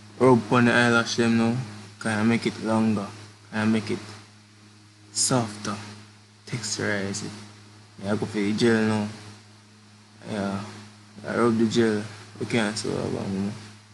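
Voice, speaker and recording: Against noticeable background noise, a man speaks at a moderate pace in a monotone, flat voice, leaving long, frequent pauses. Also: fairly low pitch for a man. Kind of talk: comedic makeup tutorial voiceover. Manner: casual, joking.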